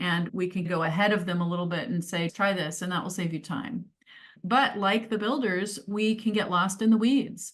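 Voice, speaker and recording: A somewhat breathy woman's voice of medium pitch. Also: ordinary pitch variation, moderate pace. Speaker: change advisor and career coach. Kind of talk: webinar presentation.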